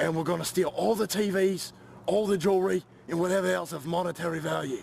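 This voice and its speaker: A put-on character voice, raspy, rattles along at a very fast pace. Background noise is clearly audible. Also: man, high pitch for a man. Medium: machinima.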